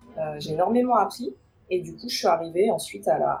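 A woman speaks at a medium pitch with audible vocal fry. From Paris region, France. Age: 30s. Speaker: recruiter. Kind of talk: interview.

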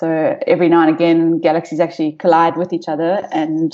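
A woman's fairly low-pitched, dark, mellow voice at a fairly quick pace. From South Africa, North West province. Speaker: astronomer. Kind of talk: interview. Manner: hesitant, many fillers.

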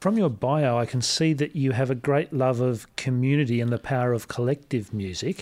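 A man with a normal speaking voice talks at a medium pitch and moderate pace, with hardly any pauses, very even loudness, and ordinary pitch variation in a very clean recording with a silent background. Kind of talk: radio DJ patter, smooth on-air announcing of guest and station.

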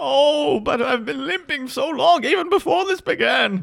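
A put-on character voice from a man, pitched extremely high, moving at a moderate pace. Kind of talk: comic overacting. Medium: actual play. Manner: melodramatic, self-pitying.

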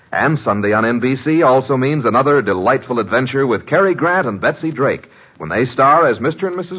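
Speaking fairly quickly with lively intonation, a man holds a medium pitch. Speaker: radio announcer. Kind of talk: old-time radio announcement. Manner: bright, theatrical, enthusiastic.

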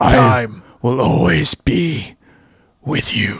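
A man's put-on character voice, raspy, medium in pitch and very slow in pace. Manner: solemn, slow, clipped.

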